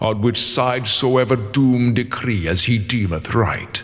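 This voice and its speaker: Speech at a very slow pace with ordinary pitch variation comes through noticeable background noise. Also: man. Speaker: voice actor. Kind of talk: audiobook narration of epic poetry.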